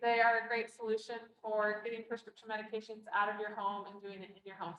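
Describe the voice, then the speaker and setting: A woman with an American accent speaks at a very fast pace in a fairly high pitch. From US East Coast. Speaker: public health educator. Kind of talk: training presentation.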